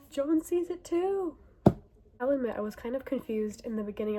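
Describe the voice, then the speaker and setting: Against noticeable background noise, a woman with a high pitch speaks at a fairly quick pace, her pitch swinging very widely. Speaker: book reviewer. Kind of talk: casual vlog monologue. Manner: animated.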